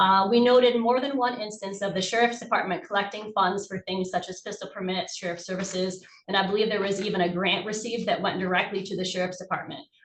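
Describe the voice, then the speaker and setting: Over noticeable background noise, a woman talks at a very fast pace in a medium-pitched voice with fairly even intonation. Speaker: auditor presenting to county board. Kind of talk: formal presentation to board.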